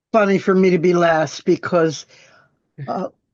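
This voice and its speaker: The woman's voice sits at a medium pitch. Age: 80s+. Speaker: musician. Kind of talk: audience question.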